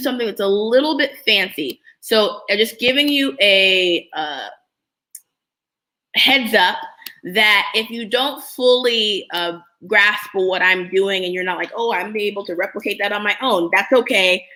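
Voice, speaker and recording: Lively intonation and a bright, sharp tone mark this woman's voice. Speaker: app business educator, livestreamer. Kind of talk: live screen-share tutorial. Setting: live stream. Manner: casual, conversational; fast.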